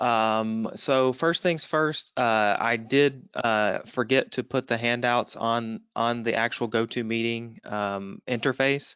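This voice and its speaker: A man at a very slow pace with a bright, sharp tone, medium pitch, fairly even intonation and very even loudness, against a quiet background. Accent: Southern US. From US Southeast. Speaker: webinar moderator. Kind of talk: webinar moderation. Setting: online webinar.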